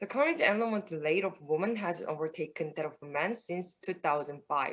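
A woman with a Korean accent speaks at a fairly slow pace in a fairly low pitch, her intonation lively. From South Korea. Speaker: PhD student in astronomy; remote conference presenter. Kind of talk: conference talk; conference presentation. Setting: remote video call. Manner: halting. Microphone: webcam.

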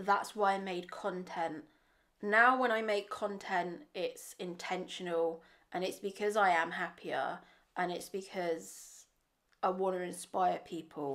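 A woman with an English accent and fairly even intonation, on a very clean recording with a silent background. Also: medium pitch for a woman. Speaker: vlogger. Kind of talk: vlog monologue.

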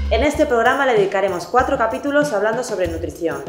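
Over clear music in the background, a woman talks at a very fast pace. Her intonation is lively. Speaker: nutritionist. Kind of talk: educational TV show presenter talking to camera. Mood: friendly, explanatory. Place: office. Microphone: lapel.

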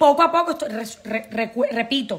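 At a moderate pace, a woman uses a raised, projected voice with lively intonation. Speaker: immigration consultancy director. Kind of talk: live stream talk to viewers. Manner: casual, with many fillers. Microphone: phone near.

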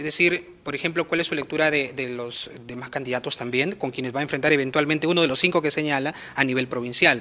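A man with a fairly high voice races along at a very fast pace with fairly even intonation and hardly any pauses. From Peru. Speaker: news reporter. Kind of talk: interview. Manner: formal. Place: office. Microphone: handheld.

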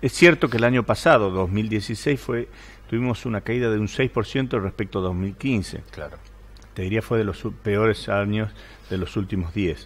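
The man's voice is fairly low, with ordinary pitch variation. His pace is fairly slow. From Argentina, Salta; Argentina. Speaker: politician and businessman; politician. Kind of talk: interview. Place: studio. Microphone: headset.

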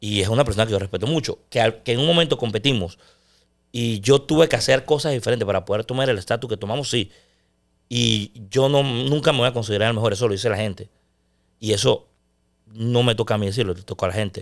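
A man's speech races along very quickly, his pitch rising and falling in an ordinary way. Nothing can be heard behind him. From Panama. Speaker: sports broadcaster; podcast guest. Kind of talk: casual chat. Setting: studio. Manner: loud; intense. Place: studio. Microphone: studio mic.

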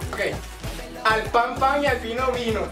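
Clear music sounds in the background. Over it, a man speaks at a moderate pace. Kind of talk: casual banter with a friend. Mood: amused, joking. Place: home room.

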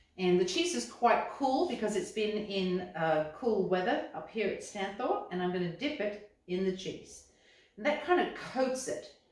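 Audible room echo around a woman's fairly slow speech. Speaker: cookbook author demonstrating. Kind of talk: tutorial. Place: kitchen. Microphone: camera far.

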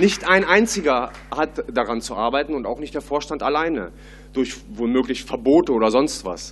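This man's intonation is lively, with vocal fry in his voice. Light background noise sits behind him. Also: moderate pace. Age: 30s. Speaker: party board candidate; candidate. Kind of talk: candidate Q&A. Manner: hesitant, many fillers. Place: hall. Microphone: podium.

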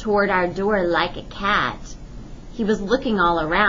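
An unforced reading voice delivered with fairly even intonation.

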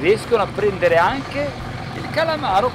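A man talks at a moderate pace, the sound dry with no echo over loud background noise. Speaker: presenter. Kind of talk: tutorial. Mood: enthusiastic. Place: boat. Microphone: phone near.

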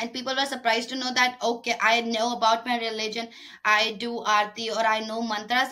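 Against a quiet background, a woman's voice comes through with a bright, sharp tone. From Pakistan, Karachi; Pakistan. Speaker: interviewee, social media creator. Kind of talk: interview. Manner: halting. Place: home room. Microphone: webcam.

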